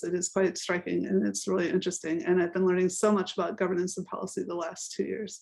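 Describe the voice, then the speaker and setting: Using an ordinary speaking voice, a woman with an American accent talks at a medium pitch with fairly even intonation. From United States. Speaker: professor. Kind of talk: panel discussion.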